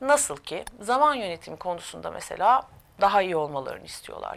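A woman's medium-pitched voice at a moderate pace. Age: 50s. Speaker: corporate trainer and coach. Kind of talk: interview. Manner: hesitant, many filler sounds.

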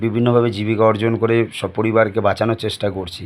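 A man speaks at a medium pitch. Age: 30s. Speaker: YouTuber sharing personal opinions. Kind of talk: opinion monologue to camera. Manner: halting.

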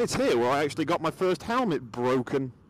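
A man at a fairly quick pace, with very wide pitch swings, light background noise and a dry sound with no echo. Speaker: motorcycle vlogger. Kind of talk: casual vlog chat. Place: motorbike. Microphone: helmet.

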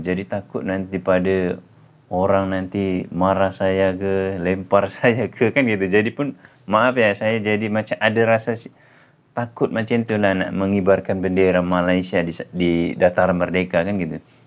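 A man with a very deep, low voice, a fairly slow pace and fairly even intonation. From Indonesia. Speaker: YouTuber; vlogger. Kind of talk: casual vlog. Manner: hesitant, many fillers. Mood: warm, grateful. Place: home room. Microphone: phone near.

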